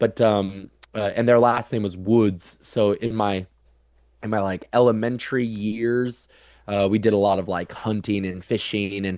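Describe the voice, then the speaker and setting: With a Midwestern American accent, a man speaks at a moderate pace in a monotone, flat intonation. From US Midwest (Council Bluffs, Iowa). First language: American Sign Language. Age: 30s. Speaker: transpersonal psychologist. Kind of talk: casual interview conversation. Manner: halting, many repetitions.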